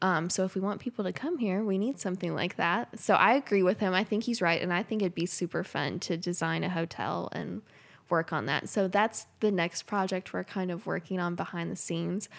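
With an American accent and a touch of vocal fry, a woman at medium pitch talks at a fairly quick pace with hardly any pauses and ordinary pitch variation, recorded very cleanly against a silent background. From Lexington, Kentucky. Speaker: entrepreneur. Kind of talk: casual interview.

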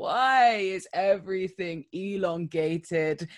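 An unremarkable speaking voice from a woman at medium pitch, in a very clean recording with a silent background. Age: 20s. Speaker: podcast co-host. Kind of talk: casual chat.

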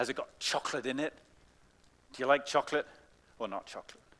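A man with an English accent, very fast pace, fairly high pitch, bright, sharp tone and ordinary pitch variation. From England. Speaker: pastor. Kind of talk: children's talk; sermon. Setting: church. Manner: animated.

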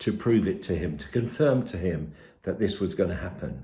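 Vocal fry runs through a man's speech, delivered at a moderate pace. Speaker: preacher. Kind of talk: sermon. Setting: pre-recorded video.

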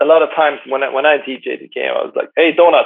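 He is a man. He has a Swedish accent. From Sweden. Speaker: sports DJ and event presenter. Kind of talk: casual interview. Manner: halting, searching for words.

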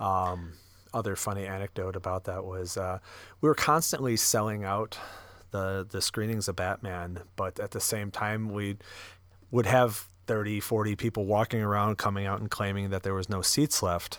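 On a very clean recording with a silent background, a man with an ordinary speaking voice talks at a moderate pace, fairly low in pitch, with fairly even intonation. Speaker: podcast host. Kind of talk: casual chat about movies. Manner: casual, joking.

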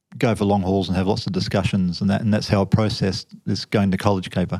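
A man with a fairly low pitch talks at a fairly quick pace with an Australian accent. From Western Australia, Fremantle. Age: 50s. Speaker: officer and former deep sea trawler. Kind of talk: interview testimony.

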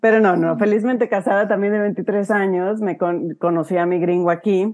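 Against a quiet background, a woman with an ordinary speaking voice talks at a fairly quick pace, medium in pitch and fairly even in intonation. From Huasteca, Mexico. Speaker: real estate investor. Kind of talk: casual interview.

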